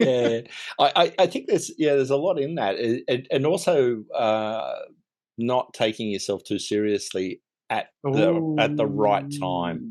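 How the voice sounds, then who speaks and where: A man with a normal speaking voice at a medium pitch, lively intonation, and a fairly slow pace. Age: 60s. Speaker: business consultant. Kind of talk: casual chat.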